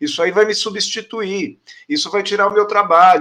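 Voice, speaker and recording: A man with a high pitch speaks at a moderate pace. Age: 50s. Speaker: corporate speaker and businessman. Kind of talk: interview.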